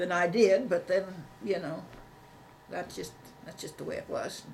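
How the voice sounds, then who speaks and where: The recording carries audible room echo. Noticeable background noise is present too. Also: woman. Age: 80s+. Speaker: elderly interviewee, oral history. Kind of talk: oral history interview. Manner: halting.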